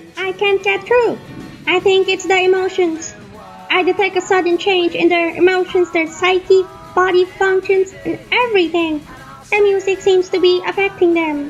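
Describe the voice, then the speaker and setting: In a put-on character voice with an extremely high pitch, the speaker goes at a moderate pace over clear background music. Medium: audio drama. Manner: calm, precise.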